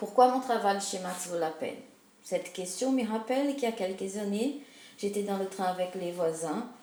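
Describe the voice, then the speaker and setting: A woman speaks at a moderate pace and medium pitch, with ordinary pitch variation and big swings in loudness. Noticeable background noise and audible room echo fill the recording. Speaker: multimedia community worker. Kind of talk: personal story narration.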